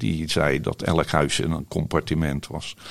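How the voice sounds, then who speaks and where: A man speaks with a very deep, low pitch and vocal fry. His pace is very slow. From Netherlands, Rotterdam. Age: 70s. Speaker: holiday cabin owner. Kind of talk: interview. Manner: halting.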